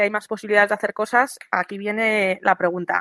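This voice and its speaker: Her tone is bright and sharp, and her intonation fairly even as this woman talks at a fairly quick pace. The sound is dry and close, with no echo. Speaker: sports advice contributor. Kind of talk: radio segment, advice. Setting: remote via internet.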